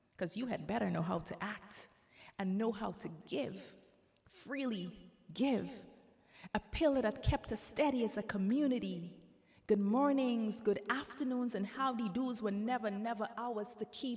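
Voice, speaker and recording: Showing vocal fry, a woman speaks at a fairly high pitch and fairly slow pace with ordinary pitch variation. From Grenada. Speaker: spoken word poet. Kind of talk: spoken word poetry performance.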